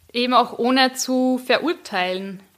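Here a woman speaks in an Upper Austrian accent. Her voice is high in pitch. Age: young. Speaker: podcaster and PR consultant. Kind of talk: casual interview chat.

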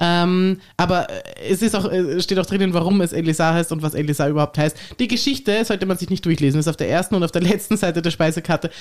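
Keeping very even loudness, a woman talks at a very fast pace with a fairly low pitch and ordinary pitch variation. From Tyrol, Austria. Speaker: podcast host. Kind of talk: casual chat.

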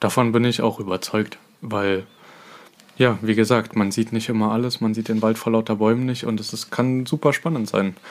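Using a normal speaking voice, a man talks at a medium pitch and a moderate pace with fairly even intonation. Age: 20s. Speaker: dance competition judge and podcast co-host. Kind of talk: casual chat.

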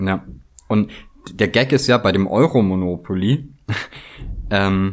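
A man's intonation is lively even as he talks very slowly. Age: 30s. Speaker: craftsman. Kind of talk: casual chat.

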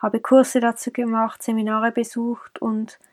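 Recorded with a dry, close sound and no echo, a woman speaks at a fairly high pitch and a fairly slow pace. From Switzerland, Zurich. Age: 20s. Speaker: podcast host and life coach. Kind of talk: personal monologue.

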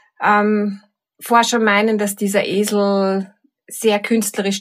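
A woman with a medium pitch speaks in a Viennese accent. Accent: Viennese Austrian German. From Vienna, Austria. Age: 50s. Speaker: teacher and coach. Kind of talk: reflective talk with guided exercise.

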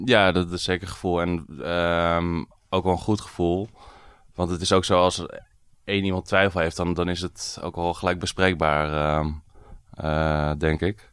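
A man speaks at a fairly slow pace, his pitch very deep and low with fairly even intonation. Long pauses come often. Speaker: shop owner. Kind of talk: interview. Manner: calm.

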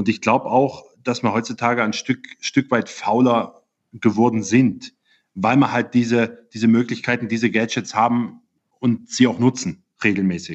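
A man speaks at a moderate pace with a medium pitch, an unremarkable speaking voice, and fairly even intonation. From Germany. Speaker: physiotherapist. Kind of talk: interview. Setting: video call.

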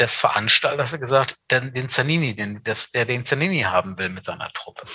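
A man's voice at medium pitch has a bright, sharp tone. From Hannover, northern Germany. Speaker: event industry veteran. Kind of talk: casual interview.

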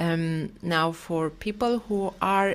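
In a Romanian accent, a woman speaks at a fairly low pitch with ordinary pitch variation. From Romania, Bucharest. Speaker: paediatric gastroenterologist. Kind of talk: interview. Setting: video call.

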